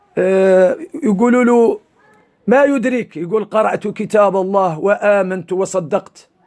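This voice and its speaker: A man's high voice in a Mauritanian accent, fairly slow, with very even loudness. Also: ordinary pitch variation. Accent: Hassaniya Arabic. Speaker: Islamic preacher. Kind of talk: religious sermon.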